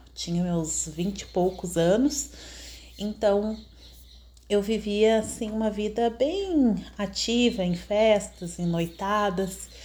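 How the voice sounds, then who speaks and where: A woman with a Brazilian accent speaks very slowly in a dark, mellow, somewhat breathy voice. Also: medium pitch for a woman, ordinary pitch variation. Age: 30s. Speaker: podcaster. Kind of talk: personal testimony monologue. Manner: halting, many fillers.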